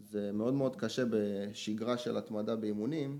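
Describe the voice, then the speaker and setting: This man talks at a moderate pace in an unremarkable speaking voice. His pitch sits in the medium range, with fairly even intonation. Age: 20s. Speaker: strength coach and weightlifter. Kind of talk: casual chat.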